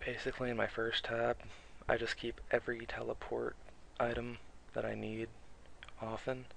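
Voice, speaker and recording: A man talks at a moderate pace. He is soft-spoken. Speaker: gaming video creator. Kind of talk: tutorial. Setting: home recording at night. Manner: halting.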